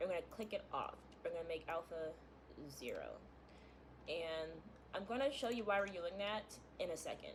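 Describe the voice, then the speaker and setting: Long, frequent pauses break up the speech. There is noticeable background noise. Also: woman. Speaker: gaming content creator. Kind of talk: tutorial. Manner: fast; casual, filler-heavy.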